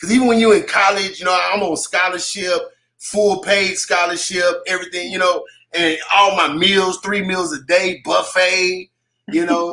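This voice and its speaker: With an American accent, a man projects a raised, high-pitched voice in a monotone, flat delivery. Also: moderate pace. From Texas, Waco. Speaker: hip hop artist. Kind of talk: radio interview. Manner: halting.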